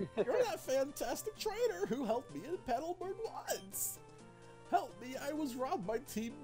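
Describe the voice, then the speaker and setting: In a put-on character voice at a high pitch, the speaker goes at a moderate pace over clear music in the background. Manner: urgent, pleading.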